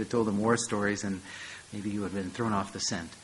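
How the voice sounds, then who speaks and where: Fairly even intonation from a man with an American accent and a fairly low pitch, over noticeable background noise. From United States (St. Louis). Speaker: professor. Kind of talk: lecture.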